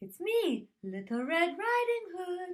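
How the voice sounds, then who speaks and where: A squeaky, put-on character voice speaks at a fairly slow pace. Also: woman. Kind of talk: children's story read aloud. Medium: read story. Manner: sly, false sweetness.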